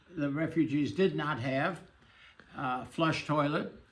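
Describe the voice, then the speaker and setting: Audible room echo surrounds a man's fairly high voice. His intonation is fairly even. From Germany, grew up in Shanghai. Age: 80s+. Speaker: Holocaust refugee survivor. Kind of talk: interview testimony. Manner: halting, many fillers.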